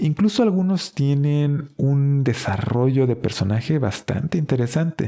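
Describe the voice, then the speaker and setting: Lively intonation and a fairly slow pace in a normal speaking voice. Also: man, fairly high pitch for a man, hardly any pauses. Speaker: book podcast host. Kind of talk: book review monologue.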